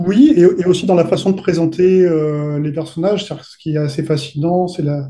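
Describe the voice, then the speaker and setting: A man with a high pitch and a dark, mellow tone speaks at a fairly quick pace with fairly even intonation. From southern France, Côte d'Azur. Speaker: fantasy novelist and role-playing game designer. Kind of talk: interview.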